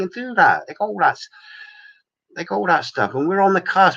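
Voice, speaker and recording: Bright and sharp in tone, a man's voice shows vocal fry and very wide pitch swings. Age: 50s. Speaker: livestream host. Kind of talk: casual livestream chat reading viewer comments. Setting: home livestream with screen share. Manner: animated.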